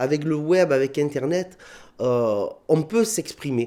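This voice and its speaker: With a southern French accent, a man speaks in a dark, mellow tone at a fairly high pitch. His intonation is lively. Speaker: comedian. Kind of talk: interview. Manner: hesitant, many fillers.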